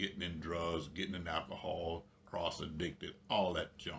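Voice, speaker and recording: A man talks at a moderate pace. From New Jersey, US (born in Georgia). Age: 70s. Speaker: preacher and public insurance adjuster. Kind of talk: personal testimony. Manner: casual, conversational with fillers.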